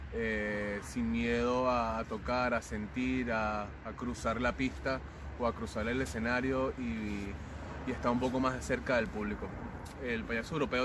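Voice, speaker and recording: Over noticeable background noise, a man with a Venezuelan accent speaks at a medium pitch with ordinary pitch variation. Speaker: circus clown and acrobat. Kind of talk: interview answer. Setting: outdoors.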